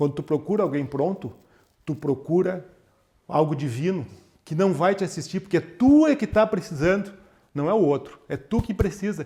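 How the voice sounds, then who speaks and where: At a moderate pace, the speaker's dark, mellow tone moves with lively intonation, separated by long, frequent pauses. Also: man. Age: 60s. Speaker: former manager. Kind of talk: casual interview.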